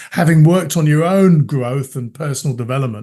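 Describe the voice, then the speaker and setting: A man speaks in a normal speaking voice, pitched fairly high. His intonation is lively. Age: 50s. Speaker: coach. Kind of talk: interview.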